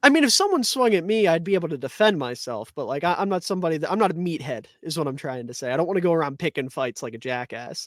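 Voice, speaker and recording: A man talks loudly in a high voice at a very fast pace, animated and with lively intonation and hardly any pauses. The recording is very clean with a silent background. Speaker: podcast co-host. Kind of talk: casual chat.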